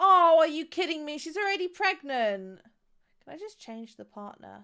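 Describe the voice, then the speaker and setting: A woman with a West Midlands accent speaks in a bright, sharp tone. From West Midlands, England. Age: 20s. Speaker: game streamer. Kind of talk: casual live-stream gameplay commentary.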